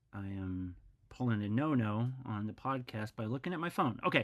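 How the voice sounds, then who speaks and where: The speaker has a Midwestern American accent. The pace is fairly slow. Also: man. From US Midwest, Missouri. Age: 40s. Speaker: podcast host. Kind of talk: interview.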